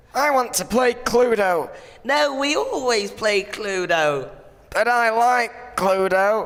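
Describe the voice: This is a gruff, put-on character voice. It sits at a fairly high pitch and moves at a fairly slow pace.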